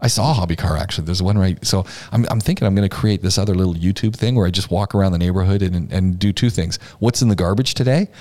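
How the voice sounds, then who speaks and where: A man talks at a very fast pace with a very deep, low pitch and ordinary pitch variation. His tone is dark and mellow, and his loudness stays very even. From Canada, Ontario. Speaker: podcast host. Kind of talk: casual chat. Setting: studio.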